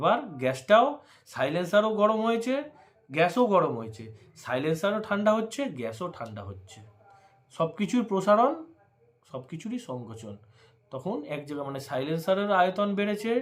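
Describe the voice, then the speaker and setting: A man's high voice swings very widely in pitch. His loudness also rises and falls sharply. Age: 30s. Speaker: bike vlogger. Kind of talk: tutorial. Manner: casual, repetitive.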